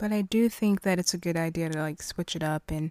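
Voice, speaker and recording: On a very clean recording with a silent background and a dry, close sound with no echo, a woman in a plain, everyday voice speaks at a moderate pace with a fairly low pitch and fairly even intonation. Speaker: podcast host. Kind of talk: casual interview chat.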